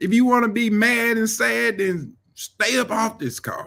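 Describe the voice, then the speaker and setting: A man speaks in an animated tone. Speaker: mentor and live-stream host. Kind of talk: motivational live-stream talk. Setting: live stream. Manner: rambling.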